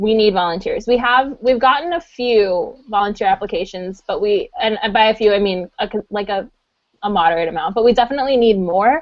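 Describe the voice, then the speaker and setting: Speaking at a fairly quick pace, a woman has a fairly high pitch, ordinary pitch variation and a plain, everyday voice. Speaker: convention organizer and podcast co-host.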